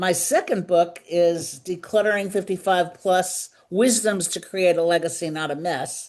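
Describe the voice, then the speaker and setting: In a New York accent, a woman with a fairly low voice speaks fairly slowly, her intonation fairly even. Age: 70s. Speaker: decluttering consultant and author. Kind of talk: interview.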